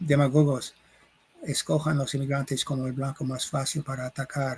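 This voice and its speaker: With an English accent, a man talks at a fairly slow pace in a fairly high pitch and a monotone, flat intonation, the sound dry and close with no echo. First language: English (speaking Spanish). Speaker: sociologist and professor. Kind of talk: interview. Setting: recording in Mexico City. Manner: halting, searching for words.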